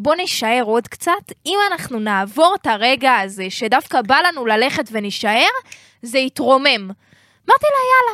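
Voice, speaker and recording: Projecting a raised, bright, sharp voice at a high pitch, a woman speaks fairly slowly with very wide pitch swings, in a dry, close sound with no echo. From Israel, Jerusalem. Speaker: rapper and music marketing advisor. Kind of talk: casual chat. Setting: studio.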